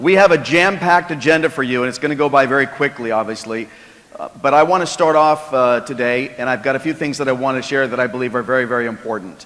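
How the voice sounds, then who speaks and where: Noticeable background noise sits behind a man talking at a very fast pace. His pitch is medium, with ordinary variation. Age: 60s. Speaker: sales executive. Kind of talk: keynote speech. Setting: stage with audience.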